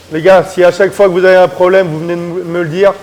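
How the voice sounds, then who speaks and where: A loud man talking at a very fast pace over noticeable background noise. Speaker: muay thai coach. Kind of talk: casual chat. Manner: animated.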